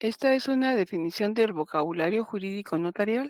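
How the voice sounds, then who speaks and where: Using a normal speaking voice, a woman talks at a moderate pace and medium pitch with lively intonation, the sound dry and close with no echo. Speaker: law professor. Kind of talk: lecture.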